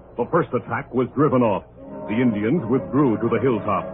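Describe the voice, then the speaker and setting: Music can be heard behind a man's voice. He speaks at a moderate pace with ordinary pitch variation. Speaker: radio announcer. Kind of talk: old-time radio drama narration.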